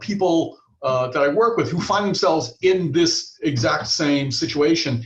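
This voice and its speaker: With a slight Boston accent, a man talks at a moderate pace in a high pitch. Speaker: marketing executive. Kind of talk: webinar introduction. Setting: video webinar.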